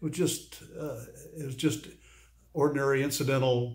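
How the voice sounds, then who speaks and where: A somewhat breathy man at a moderate pace, with ordinary pitch variation. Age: 80s+. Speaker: urology patient. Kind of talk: interview answer. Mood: pleased, earnest. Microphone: phone near.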